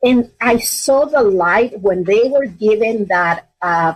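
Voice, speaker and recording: A woman talks with a Spanish accent. Her pitch variation is ordinary. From Mexico. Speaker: school superintendent. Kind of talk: interview.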